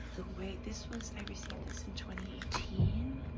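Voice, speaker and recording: A soft-spoken woman with a gentle tone talks over noticeable background noise. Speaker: ASMR creator, former English teacher. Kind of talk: ASMR book talk to camera. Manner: soft-spoken, gentle.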